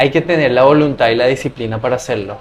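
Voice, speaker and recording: Using an ordinary speaking voice, the man keeps a fairly high pitch and fairly even intonation. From Latin America. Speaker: scholarship adviser and traveler. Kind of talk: interview.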